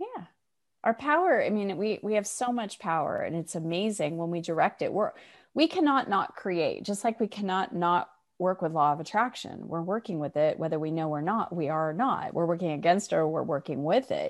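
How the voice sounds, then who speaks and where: Over a quiet background, the speaker uses lively intonation at a moderate pace. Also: woman, medium pitch for a woman. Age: 50s. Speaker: spiritual teacher and author. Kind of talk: interview. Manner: cheerful.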